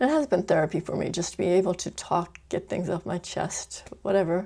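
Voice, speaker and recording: A woman mumbles at a moderate pace. Her tone is dark and mellow. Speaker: vlogger. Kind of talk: casual monologue. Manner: mumbling; trailing off at sentence ends.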